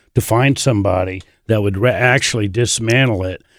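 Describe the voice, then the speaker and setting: A man with a Midwestern American accent on a very clean recording with a silent background. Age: 60s. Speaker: barn reclamation business partner, former tech worker. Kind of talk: casual interview.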